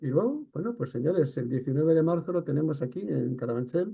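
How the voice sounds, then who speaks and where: This man speaks at a very fast pace. He has a Catalan accent. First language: Catalan (speaking Spanish). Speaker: interviewer. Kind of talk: interview.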